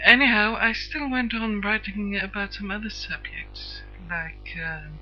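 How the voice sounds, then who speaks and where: A woman speaking at a fairly slow pace, with big swings in loudness, audible room echo and noticeable background noise. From Sweden. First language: Swedish. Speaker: internet radio host. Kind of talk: personal introduction monologue. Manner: halting, many hesitations; stiff.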